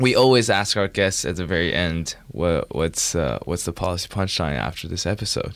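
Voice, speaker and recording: Speaking at a moderate pace with hardly any pauses, a man with a very deep, low pitch and vocal fry uses lively intonation. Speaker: student podcast host. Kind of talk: interview; show introduction. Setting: studio.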